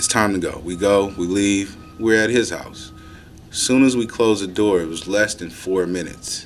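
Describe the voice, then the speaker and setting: Over noticeable background noise and audible room echo, a man with an American accent talks at a moderate pace in a fairly low pitch with fairly even intonation. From Oakland, California. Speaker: communications staffer. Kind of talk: personal testimony. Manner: halting, repeats words.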